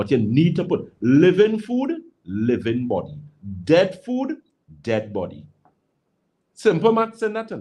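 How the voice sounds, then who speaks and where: The speaker is a man with a Trinidadian accent. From Trinidad and Tobago. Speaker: naturopathic health practitioner. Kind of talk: radio call-in health advice. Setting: radio studio. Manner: animated.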